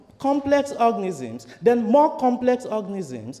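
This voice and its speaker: This is a man's voice. He speaks with a Nigerian accent. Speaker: priest. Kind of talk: sermon.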